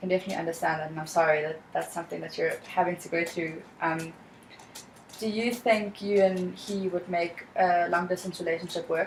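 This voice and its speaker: In a South African accent, a woman speaks at a fairly quick pace with a fairly low pitch and fairly even intonation. Her loudness swings a lot, and background noise is noticeable. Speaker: student counselor in training. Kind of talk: counseling role-play session. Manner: calm, empathetic.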